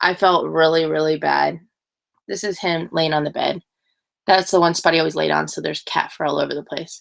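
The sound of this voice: A woman speaks at a low pitch and a moderate pace, with vocal fry and fairly even intonation.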